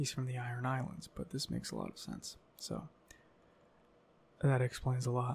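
Soft-spoken, a man talks with long, frequent pauses. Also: moderate pace. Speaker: ASMR creator. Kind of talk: ASMR lore reading; casual chat. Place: home room. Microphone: studio mic.

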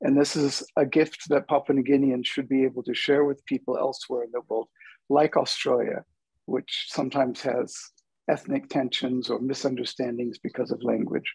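A man with an American accent, fairly high in pitch, monotone and flat, over a quiet background. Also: moderate pace. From United States. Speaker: linguist, adjunct professor; guest. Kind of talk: panel discussion. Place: home room. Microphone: earbuds.

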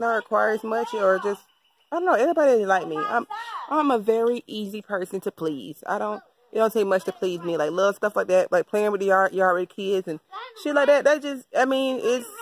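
Fairly quick speech, dry with no echo, over light background noise. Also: woman. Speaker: vlogger. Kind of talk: casual vlog chat. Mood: relaxed, upbeat. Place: garden. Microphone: phone near.

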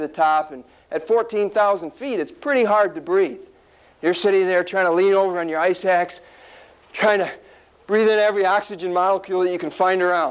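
At a fairly quick pace, a man talks with a high pitch. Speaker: speaker. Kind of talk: motivational speech. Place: meeting room. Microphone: lapel.

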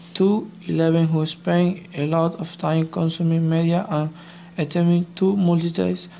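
A woman speaks with a non-native accent in a dark, mellow tone. Her intonation is monotone and flat. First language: not English. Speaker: EFL student. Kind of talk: scripted class presentation reading.

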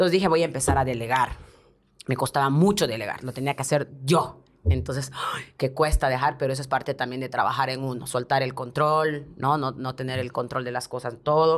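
This woman's voice sits at a very deep, low pitch with ordinary variation. She talks at a fairly quick pace. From Bolivia (La Paz); Bolivia. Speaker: TV presenter and advertising producer; podcast guest. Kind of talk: interview. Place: studio. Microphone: studio mic.

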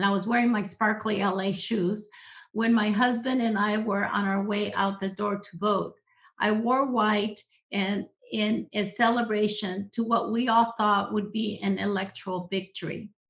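A woman with an American accent, medium pitch, monotone and flat intonation, and a fairly slow pace against a quiet background. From US-Mexican border region. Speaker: social psychologist, professor; professor. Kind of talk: presentation with slides. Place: home room. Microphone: webcam.

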